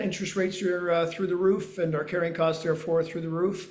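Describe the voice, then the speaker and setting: Speaking at a very fast pace, a man uses a high pitch. Room echo is audible. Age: 60s. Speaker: real estate developer. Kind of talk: interview. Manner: frequent hesitations.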